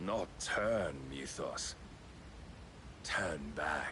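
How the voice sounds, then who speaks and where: A man puts on a character voice while loud background noise plays. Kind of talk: archaic epic speech. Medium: video game. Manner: lofty, measured, condescending.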